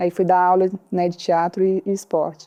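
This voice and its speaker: Her intonation fairly even, the woman's tone is dark and mellow. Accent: Ceará. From Brazil, Ceará interior. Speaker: social entrepreneur. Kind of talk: podcast interview.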